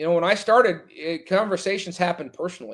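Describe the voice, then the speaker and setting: Loud and high-pitched, a man speaks at a fairly quick pace. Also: very clean recording, silent background. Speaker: firefighter officer and extrication guest. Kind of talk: casual podcast interview.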